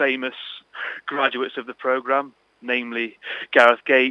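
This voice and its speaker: This man has a medium-pitched voice and an East Midlands accent. His intonation is monotone and flat. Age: 20s. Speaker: interviewee with a stutter. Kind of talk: radio interview.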